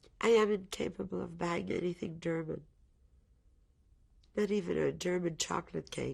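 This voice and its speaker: The recording is very clean and the background silent. A woman talks at a moderate pace. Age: 60s. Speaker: Holocaust survivor. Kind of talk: testimony. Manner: halting.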